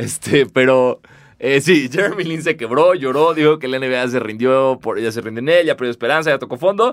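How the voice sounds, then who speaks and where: A man speaks with a Mexican accent at a medium pitch. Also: ordinary pitch variation, moderate pace. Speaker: podcast host. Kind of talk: casual chat.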